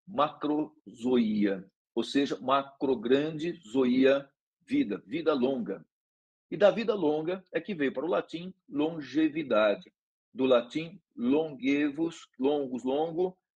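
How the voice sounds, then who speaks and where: With lively intonation, a man in a fairly high pitch speaks at a very slow pace. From Brazil, São Paulo state countryside. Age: 60s. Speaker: neurology professor. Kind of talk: lecture.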